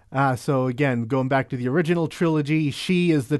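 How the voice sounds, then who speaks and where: Against a quiet background, a man with an ordinary speaking voice talks at a moderate pace and fairly high pitch, with ordinary pitch variation. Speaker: podcast host. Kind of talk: casual chat.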